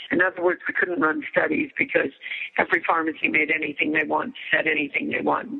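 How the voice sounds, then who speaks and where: Keeping her loudness very even, a woman speaks at a very fast pace over noticeable background noise. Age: 60s. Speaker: author and hormone educator. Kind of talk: interview.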